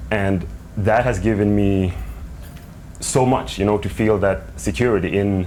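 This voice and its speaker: A man's fairly low pitch with long, frequent pauses, amid audible room echo and noticeable background noise. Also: ordinary pitch variation, fairly slow pace, very even loudness. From Sweden. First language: Swedish. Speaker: writer's adult child in family interview. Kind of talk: TV interview.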